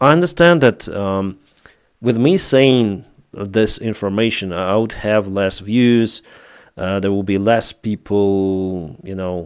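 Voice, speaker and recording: The speaker goes at a very slow pace in a Ukrainian accent, with ordinary pitch variation. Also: man, fairly low pitch for a man. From Ukraine. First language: Russian. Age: 30s. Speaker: YouTube war news commentator. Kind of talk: live stream chat. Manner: halting.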